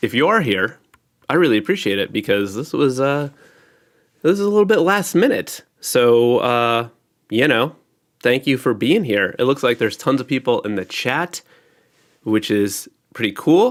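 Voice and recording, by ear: Big pitch swings mark a man's nasal voice at medium pitch. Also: moderate pace, very clean recording, silent background.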